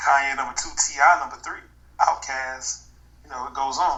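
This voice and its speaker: A man talks at a moderate pace while noticeable background noise sits behind him. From New York, moved to Georgia at 13. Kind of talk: casual chat.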